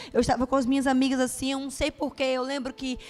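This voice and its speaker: A high-pitched woman's voice in a Bahian accent. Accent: Bahian Brazilian Portuguese. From Brazil, Bahia (Juazeiro). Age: 30s. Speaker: preacher. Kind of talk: sermon with personal testimony. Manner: animated.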